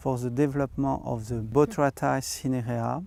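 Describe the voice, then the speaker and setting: Recorded very clean with a silent background and a dry, close sound without echo, a man with a French accent speaks in a dark, mellow tone with ordinary pitch variation. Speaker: winemaker. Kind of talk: interview. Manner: halting.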